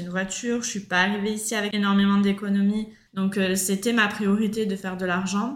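At a fairly quick pace, a woman speaks at a medium pitch. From France, Marseille. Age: 30s. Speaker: backpacker, former fruit picker. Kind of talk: casual interview.

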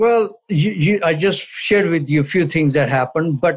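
A man's somewhat breathy voice at a moderate pace, with lively intonation. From India (New Delhi, Punjab). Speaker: retired army officer. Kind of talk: interview.

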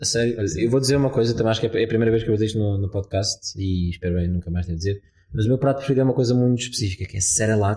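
At a very fast pace and with hardly any pauses, a man with a fairly low pitch talks in a dark, mellow, somewhat breathy tone. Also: ordinary pitch variation. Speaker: podcast host. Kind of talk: interview. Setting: hostel room in Lisbon.

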